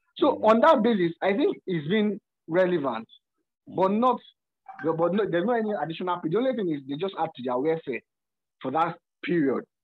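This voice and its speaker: Speaking in a Nigerian accent, a man uses a high pitch and lively intonation, moving at a fairly quick pace yet taking long, frequent pauses. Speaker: course participant. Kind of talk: class discussion.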